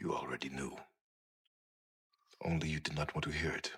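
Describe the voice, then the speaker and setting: Using a put-on character voice, a man talks at a fairly quick pace with a very deep, low pitch. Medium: short film. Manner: terse, formal.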